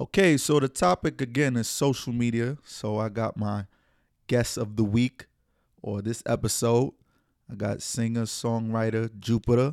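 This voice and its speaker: Recorded very cleanly against a silent background with a dry, close sound and no echo, a man speaks at a moderate pace with a medium pitch and fairly even intonation. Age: 20s. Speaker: podcast host. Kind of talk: casual chat.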